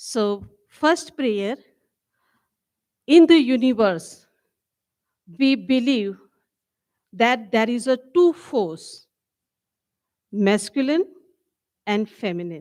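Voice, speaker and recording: Speaking very slowly, a woman swings her pitch very widely and leaves long, frequent pauses. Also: fairly high pitch for a woman. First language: not English, English is third language. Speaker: prayer leader at women's dialogue. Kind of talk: spiritual talk with prayer.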